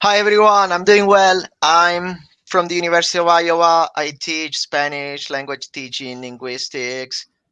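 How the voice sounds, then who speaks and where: A man with an Italian accent, bright and sharp in tone, with lively intonation at a moderate pace, in a dry, close sound with no echo against a quiet background. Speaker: language professor. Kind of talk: live webcast conversation.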